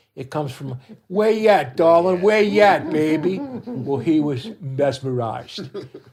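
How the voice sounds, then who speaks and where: This is a man speaking. He has a New Orleans accent. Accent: New Orleans Yat dialect. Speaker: parade group co-captain. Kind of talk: casual chat.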